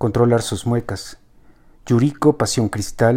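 With ordinary pitch variation, the speaker uses an unforced reading voice.

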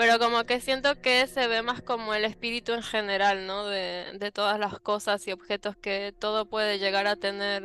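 A woman keeps her intonation fairly even and her pitch medium while talking at a moderate pace. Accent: Rioplatense. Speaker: book content creator. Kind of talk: casual chat.

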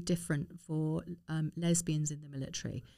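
A woman speaks in a dark, mellow tone with a southern English accent. The recording is very clean, and the background is silent. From London (Harrow). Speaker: former army nurse and campaigner. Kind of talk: interview.

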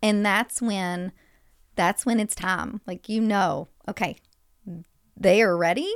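In a Kentucky accent, the speaker goes at a very slow pace with long, frequent pauses and ordinary pitch variation, the sound dry and close with no echo. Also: woman, medium pitch for a woman. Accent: Southern US (Kentucky). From US South, western Kentucky. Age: 30s. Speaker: nurse turned healthy living coach. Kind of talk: casual interview. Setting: studio.

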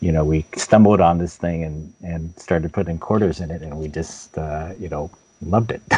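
A man speaks with a very deep, low pitch at a moderate pace. His intonation is fairly even, but his loudness swings widely. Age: 50s. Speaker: games journalist. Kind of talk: interview. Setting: video call.

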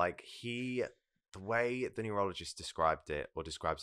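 On a very clean recording with a silent background, a man with an English accent speaks in a bright, sharp tone with ordinary pitch variation. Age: 20s. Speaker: psychology student. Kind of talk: casual chat.

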